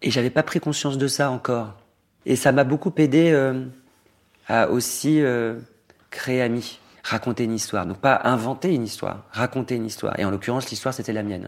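A man talks at a fairly quick pace and a medium pitch with ordinary pitch variation. Long, frequent pauses break up his speech. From Normandy, France. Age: 40s. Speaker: fashion designer. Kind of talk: interview. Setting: at home.

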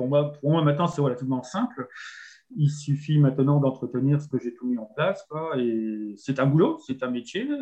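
Somewhat breathy, a man with a fairly high pitch talks at a moderate pace. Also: ordinary pitch variation. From northern France. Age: 50s. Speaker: campsite owner, former salesman. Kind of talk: interview.

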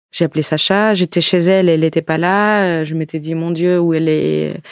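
Speaking at a moderate pace, a woman with a Russian accent has a fairly low pitch. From Ukraine. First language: Russian (speaking French). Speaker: wine shop worker, former teacher. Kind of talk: interview. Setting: studio.

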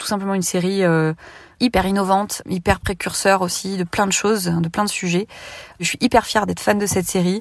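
A woman speaks at a fairly quick pace in a normal speaking voice, medium in pitch. Her intonation is fairly even, and the recording is very clean with a silent background. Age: 30s. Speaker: listener testimonial. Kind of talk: testimony.

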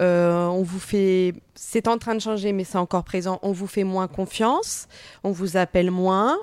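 A plain, everyday voice from a woman of medium pitch, speaking at a fairly slow pace with fairly even intonation. The recording is very clean, with a silent background. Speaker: podcast host and journalist. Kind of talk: interview.

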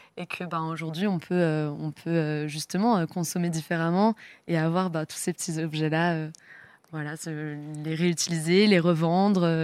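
In a very clean recording with a silent background, a woman speaks at a fairly low pitch. Her pace is fairly slow and her intonation monotone and flat. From Brittany, France (Rennes). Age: 20s. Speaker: auctioneer. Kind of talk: casual interview.

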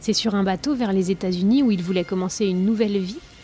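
Music plays behind a woman speaking at a very fast pace with a dramatic tone. Her pitch sits in the medium range and her intonation stays fairly even. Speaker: podcast narrator and host. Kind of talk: true-crime narration, scripted storytelling. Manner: grave, measured, dramatic storyteller.

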